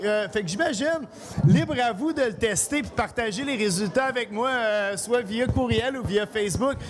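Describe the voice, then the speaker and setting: A loud man with a high pitch and lively intonation, amid noticeable background noise. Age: 40s. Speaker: chef. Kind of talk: cooking demonstration. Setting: live event with audience.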